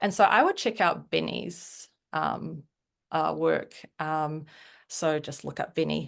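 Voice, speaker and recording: A woman with a New Zealand accent speaks against a quiet background. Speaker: writer on a newsletter platform. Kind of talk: interview conversation.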